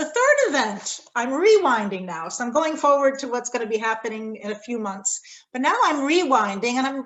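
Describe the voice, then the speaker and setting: With an American accent, a woman speaks at a high pitch and moderate pace, her intonation lively. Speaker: respondent to a lecture, corporate responsibility academic. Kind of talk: academic response talk.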